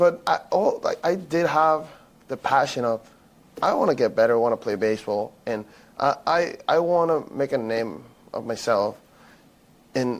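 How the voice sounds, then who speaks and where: The speaker has a Spanish accent and lively intonation. Long pauses come frequently. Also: man, fairly high pitch for a man, moderate pace. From Venezuela. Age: 20s. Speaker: former college baseball player. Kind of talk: podcast interview. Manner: halting, repeats words.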